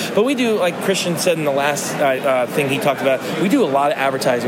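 This man has a fairly high pitch and speaks at a very fast pace. Noticeable background noise runs underneath. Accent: American. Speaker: toy vendor. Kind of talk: casual interview chat.

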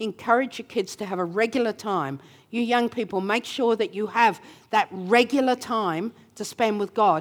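A woman with an Australian accent speaks at a moderate pace and fairly high pitch, with ordinary pitch variation, on a very clean recording with a silent background. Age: 70s. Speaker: preacher. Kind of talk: sermon. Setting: church. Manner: animated.

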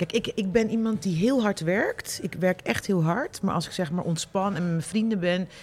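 A woman's medium-pitched voice with ordinary pitch variation, a moderate pace, hardly any pauses, and noticeable background noise. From Netherlands, Rotterdam. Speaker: columnist and journalist. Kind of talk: interview.

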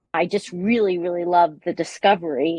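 An American accent with fairly even intonation, in a dry, close sound with no echo. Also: woman.

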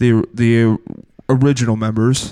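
The speech goes at a very slow pace in a monotone, flat intonation. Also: man. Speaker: comedy podcast host. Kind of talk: comedic fantasy football banter. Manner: halting, filler-heavy.

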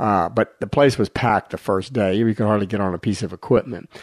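A man with an unremarkable speaking voice talks at a fairly low pitch with fairly even intonation. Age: 60s. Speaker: physician and radio health show co-host. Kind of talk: casual chat. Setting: radio studio.

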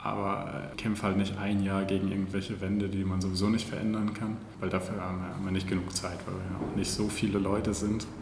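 Fairly quick and with hardly any pauses, a man talks in a fairly low pitch with monotone, flat intonation. Noticeable background noise and audible room echo are present. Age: 20s. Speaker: city administration IT employee. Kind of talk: casual interview.

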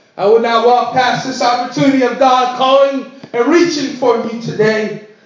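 A man talks at a fairly quick pace with an extremely high pitch. Audible room echo and noticeable background noise fill the recording. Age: 30s. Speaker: pastor. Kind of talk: sermon.

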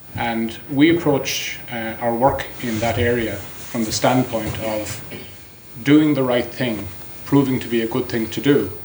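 A man at medium pitch, fairly slow and fairly even in intonation, with noticeable background noise. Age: 50s. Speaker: company executive. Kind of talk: conference talk.

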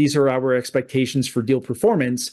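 Over a quiet background, a man with a Canadian accent speaks in a normal speaking voice, fairly high in pitch, at a moderate pace. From Canada. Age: 30s. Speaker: real estate investor. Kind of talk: interview.

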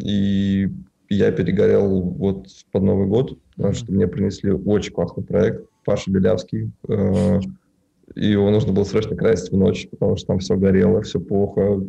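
A man with an ordinary speaking voice talks at a moderate pace and a fairly low pitch. His loudness stays very even, and his intonation is fairly even too. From Russia, Tatarstan (Naberezhnye Chelny). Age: 20s. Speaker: film colorist, studio owner. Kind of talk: casual interview.

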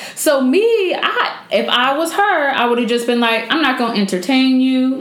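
A woman's fairly slow, lively-intoned speech over noticeable background noise. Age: 20s. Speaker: podcast host. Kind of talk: casual chat. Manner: animated.

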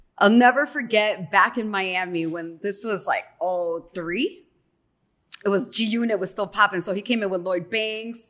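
A woman with a Chicago accent speaks at medium pitch and a moderate pace. Her tone is animated, with ordinary pitch variation. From Chicago, south side, Mexican American. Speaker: radio personality. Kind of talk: casual chat.

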